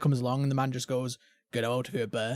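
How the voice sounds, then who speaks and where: A man talks with a British accent at a medium pitch. The recording is very clean and dry, close-sounding with no echo against a silent background. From England. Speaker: gaming podcast host. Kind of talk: casual chat.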